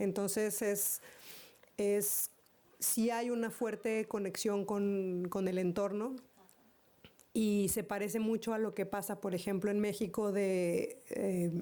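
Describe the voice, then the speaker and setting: With a Mexican accent, the voice moves at a fairly slow pace in a dark, mellow tone. Its intonation is monotone and flat, and its loudness stays very even. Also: woman. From northeastern Mexico. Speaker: conference keynote speaker. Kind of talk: Q&A answer at conference. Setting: conference hall with audience. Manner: halting, many repetitions.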